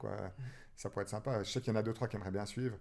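Fairly even intonation from a man, his voice fairly low in pitch. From Switzerland, Vaud (Nyon, Yverdon). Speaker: runner and sports shop owner. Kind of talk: casual interview. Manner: halting.

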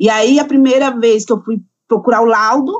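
Fairly high pitch from a woman, at a moderate pace. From São Paulo, Brazil. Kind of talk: interview answer.

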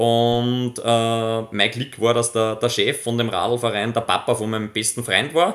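The speaker goes at a fairly slow pace with hardly any pauses, in a monotone, flat intonation. The recording is very clean, with a silent background. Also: man, medium pitch for a man. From Upper Austria, near Linz. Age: 20s. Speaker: professional mountain biker. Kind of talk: interview. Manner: halting, many repetitions.

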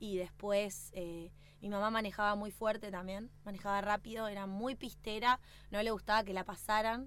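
A woman speaks at a medium pitch and moderate pace. Her intonation is monotone and flat. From Bariloche, Argentina. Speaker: racing driver. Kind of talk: casual interview.

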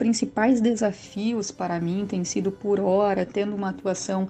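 Fairly even intonation marks a woman's medium-pitched voice. She keeps a moderate pace. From Rio Grande do Sul, southern Brazil. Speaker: public prosecutor. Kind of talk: interview. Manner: halting, with fillers.

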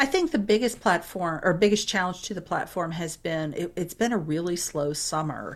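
A woman with an American accent and a fairly low pitch speaks in a plain, everyday voice at a moderate pace, with ordinary pitch variation and hardly any pauses. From Florida (St. Petersburg). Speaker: career coach. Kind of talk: interview conversation.

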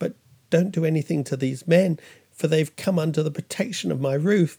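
This man uses a put-on character voice that is soft-spoken, shaky and hoarse, fairly high pitched, with ordinary pitch variation and a fairly quick pace. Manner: falsely soothing, pleading, conspiratorial.

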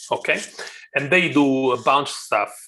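A man speaks with an Italian accent. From Italy, Rome. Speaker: YouTuber and wet shaving hobbyist. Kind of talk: casual interview chat.

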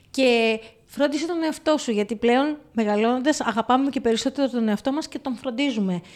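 A woman's high-pitched voice moves with ordinary pitch variation. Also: moderate pace. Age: 50s. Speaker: podcast co-host. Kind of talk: casual chat.

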